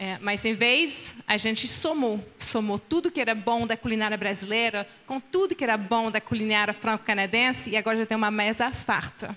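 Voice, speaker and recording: A woman with a French accent, fairly high pitch, ordinary pitch variation, and hardly any pauses. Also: moderate pace. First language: French (speaking Portuguese). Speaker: pastor's wife, seminar speaker. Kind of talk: marriage seminar dialogue. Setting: conference with live and online audience.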